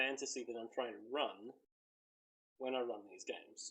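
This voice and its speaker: A man with a rural Australian accent talks at a fairly quick pace and a medium pitch. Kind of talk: casual talk to camera. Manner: rambling, hesitant.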